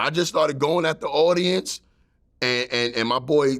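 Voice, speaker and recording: Spoken in a strong New York accent, the voice has ordinary pitch variation. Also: man. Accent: thick New York. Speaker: stand-up comedian. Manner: storytelling, casual.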